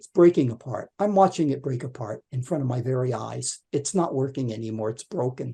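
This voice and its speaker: A somewhat breathy man speaks at a fairly quick pace, his fairly high voice carrying a dark, mellow tone and lively intonation. The background is quiet. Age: 70s. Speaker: author. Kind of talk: interview. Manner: animated.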